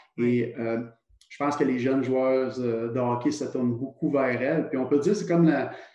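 The man's dark, mellow tone carries fairly even intonation. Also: medium pitch for a man, moderate pace. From Quebec, Trois-Rivières. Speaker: retired hockey player. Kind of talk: casual interview.

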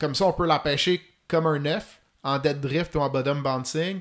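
A man with a fairly high pitch talks slowly-ish, at a fairly slow pace with fairly even intonation. His long, frequent pauses sit on a very clean recording with a silent background. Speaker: fly fishing expert. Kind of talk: technical podcast interview.

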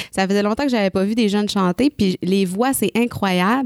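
Fairly quick speech from a woman with a Quebec accent, medium in pitch with ordinary variation, in a dry, close sound with no echo. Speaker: singer. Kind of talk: casual chat. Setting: studio.

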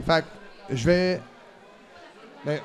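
A man with a Quebec accent speaks with ordinary pitch variation. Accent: Québécois French. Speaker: wrestling podcast host. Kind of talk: casual chat. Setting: recording at a convention.

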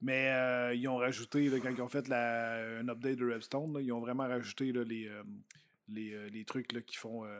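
A man's medium-pitched voice in a Quebec accent, monotone and flat in intonation, at a moderate pace. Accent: Québécois French. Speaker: YouTuber and vlogger. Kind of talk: casual chat.

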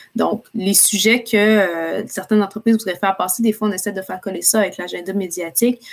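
A woman with an ordinary speaking voice, medium pitch and fairly even intonation. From Quebec City. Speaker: public relations entrepreneur. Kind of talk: interview.

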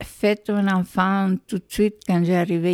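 Speaking at a very slow pace, a woman with a medium pitch keeps a monotone, flat delivery in a dry, close sound with no echo. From El Salvador, San Miguel. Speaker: retired teacher, immigrant. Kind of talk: life story interview. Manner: halting.

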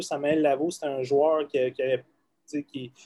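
His delivery is flat and monotone. The speaker is male. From Quebec, South Shore of Montreal. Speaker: college football head coach. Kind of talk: casual interview.

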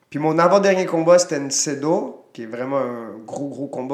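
A man at a moderate pace with ordinary pitch variation, in a room with audible echo. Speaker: retired Muay Thai fighter, coach and promoter. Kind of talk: casual interview.

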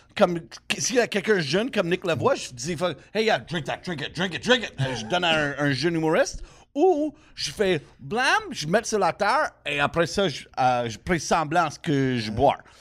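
On a very clean, silent recording, a man with a Quebec accent speaks at a high pitch and a moderate pace, his voice swinging very widely in pitch. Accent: Québécois. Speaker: comedian. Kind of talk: casual chat. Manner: animated.

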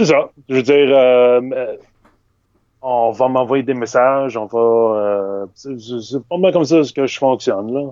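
Speaking at a very slow pace, a man uses a dark, mellow tone at a medium pitch with ordinary pitch variation. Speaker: illustrator. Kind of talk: casual interview. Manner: hesitant, many fillers.

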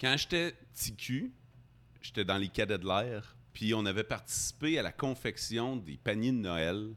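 On a very clean recording with a silent background, a man with a fairly low pitch speaks very slowly with lively intonation. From Quebec, Abitibi-Témiscamingue. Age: 40s. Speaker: radio host. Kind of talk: casual chat. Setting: bar.

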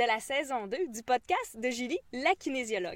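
Speaking fairly slowly in a Quebec accent, a woman with a high voice makes very wide pitch swings, the sound dry and close with no echo. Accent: Québécois French. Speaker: kinesiologist and podcast host. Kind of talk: casual interview.

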